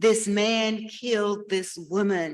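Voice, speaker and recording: A woman talks with a Southern US accent. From US South, Alabama. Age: 70s. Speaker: author. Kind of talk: panel Q&A.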